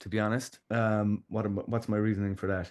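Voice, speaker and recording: A man with a Kerry accent speaks at a moderate pace in a fairly low pitch. The background is quiet. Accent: Irish, Kerry. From Ireland. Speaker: musician, audio engineer. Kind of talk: podcast interview answer. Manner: relaxed, conversational.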